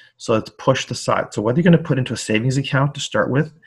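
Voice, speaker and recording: A somewhat breathy man at a fairly quick pace. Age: 50s. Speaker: high school personal finance teacher. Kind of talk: interview. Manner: hesitant, many fillers.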